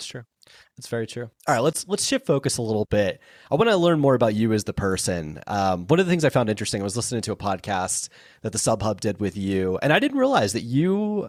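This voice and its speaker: Very fast, lively speech with an American accent, dry and close with no echo, on a very clean recording with a silent background. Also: man, medium pitch for a man. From South Florida. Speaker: podcast host. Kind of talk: interview conversation.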